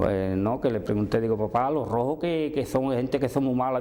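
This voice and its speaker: Moderately paced male speech at a medium pitch, noticeable background noise behind it. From Andalusia, Seville province. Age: 70s. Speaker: oral history interviewee. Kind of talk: testimony. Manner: halting.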